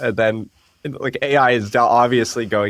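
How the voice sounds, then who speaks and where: Recorded very cleanly with a silent background and a dry, close sound with no echo, a man talks at a fairly quick pace with medium pitch and fairly even intonation. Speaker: AI researcher. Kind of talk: podcast interview. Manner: mumbling.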